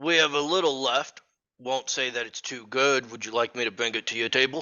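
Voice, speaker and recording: A man uses a raspy, put-on character voice. He moves at a fairly quick pace. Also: medium pitch for a man. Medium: actual play. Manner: chatty, gossipy.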